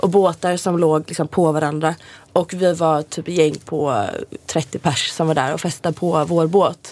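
Her voice is fairly low in pitch as this woman speaks at a fairly slow pace with fairly even intonation. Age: 20s. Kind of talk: casual chat.

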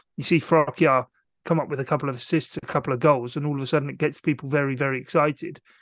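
Against a quiet background with a dry, close sound and no echo, a man speaks at a very fast pace and fairly high pitch in a monotone, flat intonation. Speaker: football commentator. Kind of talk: casual chat.

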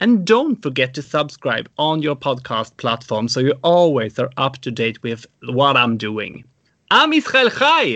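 A man talks with an unremarkable speaking voice. His pitch varies in an ordinary way. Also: fairly high pitch for a man, fairly slow pace. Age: 30s. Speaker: podcast host. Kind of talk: interview.

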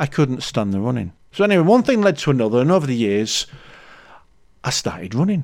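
A fairly high-pitched male voice in a Yorkshire accent, with very wide pitch swings, on a very clean recording with a silent background. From Leeds, Yorkshire. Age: 50s. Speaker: podcast host, amateur runner. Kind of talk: solo podcast monologue. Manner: casual, chatty.

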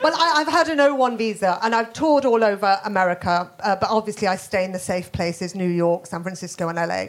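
In a Birmingham accent, a woman with a medium pitch and lively intonation talks at a very fast pace with hardly any pauses over noticeable background noise. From Birmingham, England. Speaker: comedian. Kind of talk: panel discussion before live audience. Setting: stage with audience.

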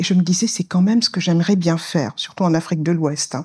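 A woman with a dark, mellow tone speaks in fairly even intonation on a very clean recording with a silent background and a dry, close sound with no echo. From Senegal, Saint-Louis. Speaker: finance specialist. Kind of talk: interview. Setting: recorded live in Dakar.

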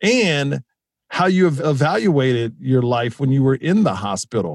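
The sound is dry and close, with no echo. The voice makes very wide pitch swings. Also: man. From Houston, Texas. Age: 40s. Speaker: comedian. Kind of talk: casual chat.

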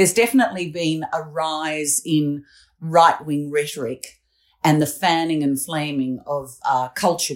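At a fairly slow pace, the speaker talks with an Australian accent. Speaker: political commentator. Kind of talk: casual chat.

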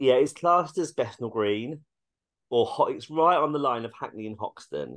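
This man talks at a moderate pace with a British accent. His pitch is fairly high, and the background is quiet. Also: ordinary pitch variation. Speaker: actor and dog groomer. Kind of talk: casual interview chat.

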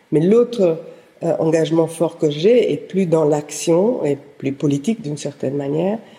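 A woman with an Italian accent speaks at a very slow pace. Her voice is very deep and low, with a dark, mellow tone. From southern Italy (Apulia). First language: Italian (speaking French). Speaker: historian and researcher. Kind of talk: interview. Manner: halting.

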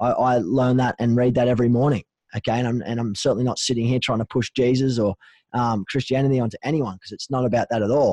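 With an Australian accent, a man of medium pitch and a dark, mellow tone speaks at a very fast pace with fairly even intonation in a dry, close sound with no echo. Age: 30s. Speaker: mental health charity co-founder. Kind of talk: casual interview.

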